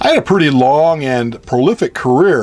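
Music plays in the background as someone speaks at a fairly slow pace. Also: man. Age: old. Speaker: retired construction project manager and engineer. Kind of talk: personal anecdote narration.

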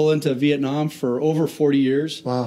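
In an American accent, the voice has a dark, mellow tone and a monotone, flat intonation at a moderate pace. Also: man. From US Pacific Northwest (Tacoma, Washington). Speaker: aircraft carrier commanding officer, naval aviator. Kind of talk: interview. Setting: on location at a shipyard.

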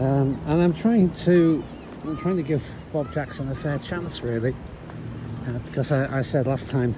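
A man is speaking with ordinary pitch variation. Noticeable background noise runs underneath. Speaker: cyclist vlogger. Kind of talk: casual vlog chat. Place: bicycle. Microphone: phone near.

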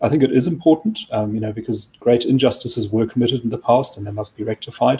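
Speaking at a very fast pace, a man has a dark, mellow tone, medium pitch and a somewhat breathy voice. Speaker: think tank chief of staff; guest. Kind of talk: current affairs discussion. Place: office.

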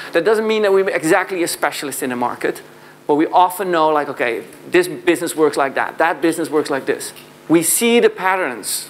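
The speaker talks with a Dutch accent. Light background noise can be heard. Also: man. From southern Netherlands. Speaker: sales consultant and founder; conference speaker. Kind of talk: conference keynote talk. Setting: stage with audience. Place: hall. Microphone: lapel.

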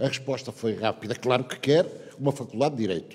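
There is a dark, mellow tone to this man's fairly high voice. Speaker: retired university founder and professor, honoree; professor. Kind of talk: ceremonial speech. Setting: stage with audience. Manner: loud. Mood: reflective, anecdotal. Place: hall. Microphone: podium.

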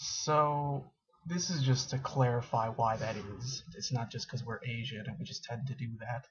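Over light background noise, a man with a medium-pitched, somewhat breathy voice talks at a moderate pace with fairly even intonation. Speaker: college student. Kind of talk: casual talk to camera. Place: home room. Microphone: webcam.

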